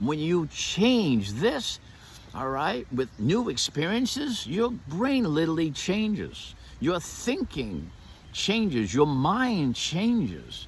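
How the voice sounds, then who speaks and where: Speaking at a very slow pace, a man with a fairly high voice lets his pitch swing very widely. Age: 60s. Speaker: martial arts teacher and motivational speaker. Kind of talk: motivational monologue. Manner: animated.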